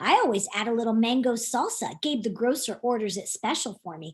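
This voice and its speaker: A woman puts on a character voice, pitched fairly high. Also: fairly quick pace. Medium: read story.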